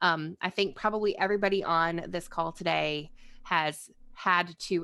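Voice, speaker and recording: In an American accent, a woman speaks at a fairly low pitch with a bright, sharp tone and fairly even intonation. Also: quiet background. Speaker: crisis counselor and trainer. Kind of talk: webinar lecture. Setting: video call. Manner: fast.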